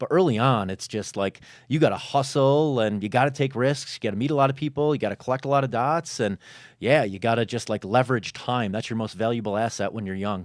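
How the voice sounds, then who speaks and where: A man with an American accent talks at a very fast pace and medium pitch, with ordinary pitch variation. The recording is very clean, with a silent background. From Chicago, US Midwest. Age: 40s. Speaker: entrepreneur and fitness content creator. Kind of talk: podcast interview. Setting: studio.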